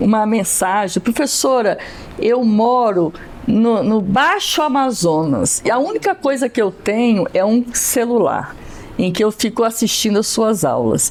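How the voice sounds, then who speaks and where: A woman talks at a very slow pace with a fairly high pitch, lively intonation and very even loudness. Noticeable background noise can be heard. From Brasília, Brazil. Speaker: Portuguese teacher. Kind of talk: interview.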